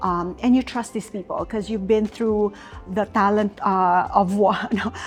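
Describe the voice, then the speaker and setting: Music plays in the background while a woman talks. She speaks fairly slowly with a fairly high pitch. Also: big swings in loudness. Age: 60s. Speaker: retired corporate talent leader. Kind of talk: interview conversation.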